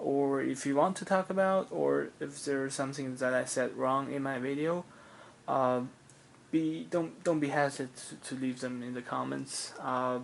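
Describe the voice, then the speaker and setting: Spoken at a moderate pace with a non-native accent. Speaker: diecast model car collector, YouTuber. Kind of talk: casual product review video. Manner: halting, frequent fillers and self-corrections.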